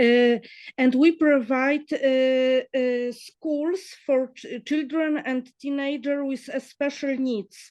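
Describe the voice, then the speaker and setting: A woman with a high pitch talks at a very slow pace with fairly even intonation. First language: Polish. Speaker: NGO worker. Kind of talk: webinar question. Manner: halting.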